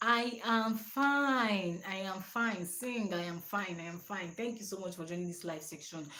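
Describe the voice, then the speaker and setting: Her medium pitch and ordinary pitch variation carry through audible room echo as a woman talks at a fairly slow pace with hardly any pauses. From Nigeria. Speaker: personal development channel host. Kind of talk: live stream talk.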